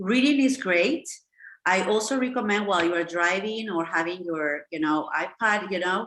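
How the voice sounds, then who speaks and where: A woman speaks at a moderate pace in a Spanish accent. Her medium-pitched voice has lively intonation. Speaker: English teacher, language school founder. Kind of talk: online lesson. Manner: many fillers and restarts.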